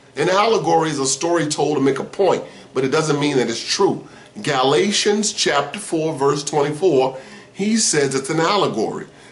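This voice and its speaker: Over noticeable background noise and audible room echo, a man with a fairly high voice speaks at a moderate pace in an animated tone, his pitch varying in an ordinary way. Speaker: former preacher turned religion critic. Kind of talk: personal story monologue.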